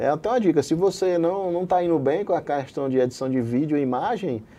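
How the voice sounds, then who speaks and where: High pitch from a man, dark and mellow in tone. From Brazil, Paraíba. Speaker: anesthesiologist and online medical educator. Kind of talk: interview.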